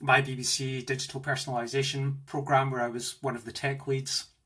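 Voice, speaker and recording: A man's fairly high voice in a Scottish accent. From Scotland, Glasgow. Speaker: tech executive. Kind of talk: interview. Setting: home office, video call. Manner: enthusiastic.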